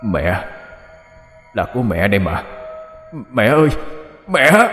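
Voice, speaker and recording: A man puts on a booming character voice at medium pitch and a very slow pace. Faint music plays in the background, and there is a slight echo. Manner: emotional, tearful.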